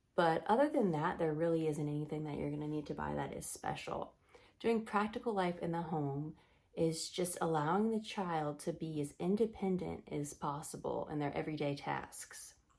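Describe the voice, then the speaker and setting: A woman speaks quietly in a very deep, low pitch with ordinary pitch variation. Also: moderate pace. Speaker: Montessori teacher and parenting vlogger. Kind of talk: casual talk to camera. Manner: quiet, lowered voice.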